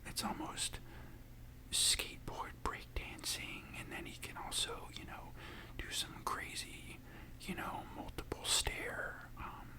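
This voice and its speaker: Whispering at a very slow pace over noticeable background noise. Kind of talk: ASMR casual chat. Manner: whispered.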